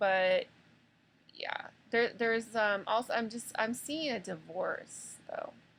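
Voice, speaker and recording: At a very slow pace, a woman speaks with fairly high pitch and ordinary pitch variation. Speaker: tarot reader. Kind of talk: tarot reading monologue. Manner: hesitant, many fillers.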